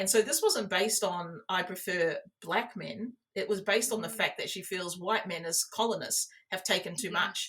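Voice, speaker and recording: A woman speaks with an Australian accent at a moderate pace. Her medium pitch varies in an ordinary way. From New South Wales, Australia. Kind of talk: interview answer.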